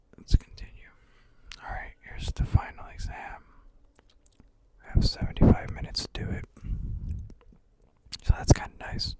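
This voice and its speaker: The voice is a whisper at a moderate pace. Long pauses come often. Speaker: student. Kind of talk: ASMR study-with-me talk. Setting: bedroom. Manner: whispered.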